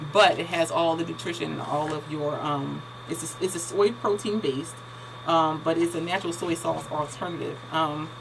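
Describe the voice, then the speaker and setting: A woman's very deep, low pitch with ordinary pitch variation over noticeable background noise. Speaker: lifestyle vlogger. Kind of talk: casual tutorial. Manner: fast; halting, many fillers.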